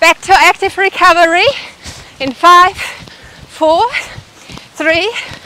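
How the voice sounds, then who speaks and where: A woman's raised, projected voice at a very slow pace, with dry sound and no echo. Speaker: fitness instructor. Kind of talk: workout instruction. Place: garden.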